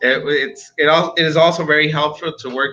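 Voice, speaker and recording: A man with a Spanish accent and a fairly high pitch. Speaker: study abroad agency advisor. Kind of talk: online info session.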